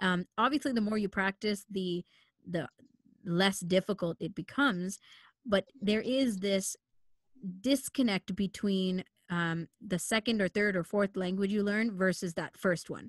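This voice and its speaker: With a Canadian accent, the speaker goes at a fairly slow pace with ordinary pitch variation, in a dry, close recording free of echo. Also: woman, medium pitch for a woman. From Canada, Sri Lankan Tamil family. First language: Tamil. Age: 20s. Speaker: radio producer and host. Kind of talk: casual chat. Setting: video call.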